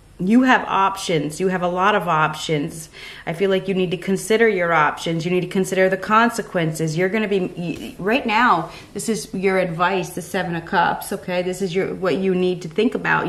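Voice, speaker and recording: Talking at a fairly quick pace with hardly any pauses, a woman keeps her intonation fairly even. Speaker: tarot reader. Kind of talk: tarot reading commentary. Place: home room.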